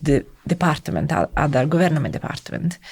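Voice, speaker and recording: A woman talks with an Italian accent. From Italy (Rome). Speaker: civil servant in education policy. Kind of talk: interview conversation. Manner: halting.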